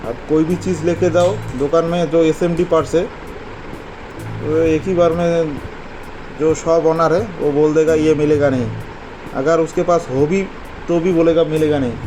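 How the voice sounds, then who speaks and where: A man with a non-native accent speaks at a fairly high pitch with fairly even intonation and long, frequent pauses. Music plays in the background. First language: not Hindi (speaking Hindi). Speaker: electronics repair technician. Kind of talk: repair tutorial; casual talk to viewers.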